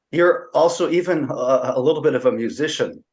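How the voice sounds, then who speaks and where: With an American accent and lively intonation, a man speaks in an ordinary speaking voice over a quiet background. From California. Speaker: podcast host. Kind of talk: interview. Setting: podcast recording.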